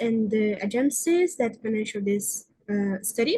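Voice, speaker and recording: A woman's fairly high, somewhat breathy voice with a Brazilian Portuguese accent, at a fairly slow pace with ordinary pitch variation. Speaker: researcher. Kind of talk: conference presentation; Q&A answer. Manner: halting.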